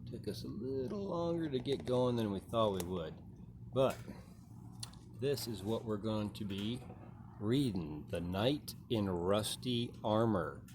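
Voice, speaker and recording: Speaking slowly with long, frequent pauses, a man with an American accent has a fairly low, somewhat breathy voice. His intonation is lively. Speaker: audiobook-style live reader and performer. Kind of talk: casual talk to audience before reading.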